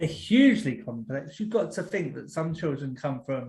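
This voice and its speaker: A man with a somewhat breathy voice. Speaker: deputy head teacher and podcast host. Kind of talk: online training presentation. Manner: fast.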